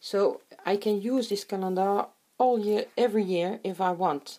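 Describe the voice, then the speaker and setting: A woman speaks with a non-native accent at a fairly slow pace. Her intonation is fairly even. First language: not English. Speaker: crafter. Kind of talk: tutorial. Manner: halting.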